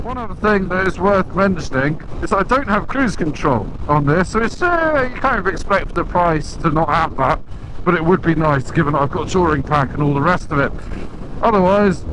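A man talks at a moderate pace over noticeable background noise. The sound is dry, with no echo. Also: lively intonation. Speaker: motorbike reviewer. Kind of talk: commentary. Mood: light, joking. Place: motorbike. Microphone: helmet.

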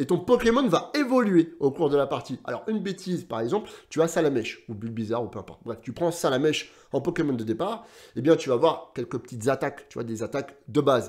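A man's animated, fairly high voice at a fairly quick pace with hardly any pauses and very wide pitch swings, over a quiet background. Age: 30s. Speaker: gaming YouTuber. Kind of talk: casual video commentary. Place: home room.

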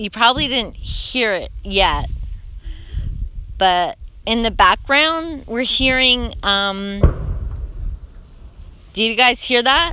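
With lively intonation and a fairly high pitch, a woman speaks slowly in a bright, sharp tone that is also clear and smooth.

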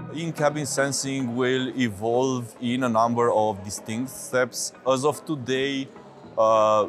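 Over clear music in the background, a man talks at a very slow pace with fairly even intonation. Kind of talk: interview answer. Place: hall.

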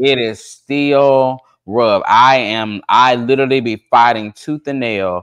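A man with an ordinary speaking voice talks at a medium pitch with ordinary pitch variation against a quiet background. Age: 30s. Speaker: social media content creator. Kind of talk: casual chat. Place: home room. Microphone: video call.

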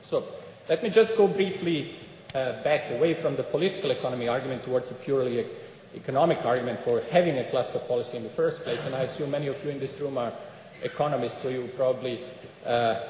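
A man talks at a very fast pace. Audible room echo and light background noise sit around his voice. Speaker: speaker. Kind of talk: conference talk. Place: hall. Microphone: podium.

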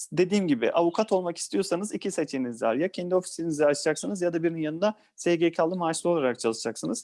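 Speaking at a very fast pace with hardly any pauses, a man uses a high pitch, a dark, mellow tone and ordinary pitch variation against a quiet background. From Balıkesir, Turkey. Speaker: lawyer. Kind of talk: interview.

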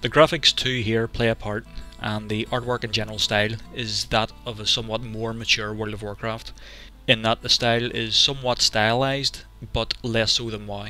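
Over faint background music, a man speaks at a moderate pace in a flat, monotone delivery, with a dry sound and no echo. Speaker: video game reviewer. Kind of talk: video game review narration. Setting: home recording, lower-quality microphone.

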